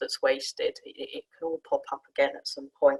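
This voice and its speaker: Speaking at a fairly quick pace, a woman with a southern English accent is heard in a dry, close sound with no echo. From Sussex, southern England. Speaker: management consultant, career panelist. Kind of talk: career talk on a webinar panel. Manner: conversational with frequent fillers and restarts.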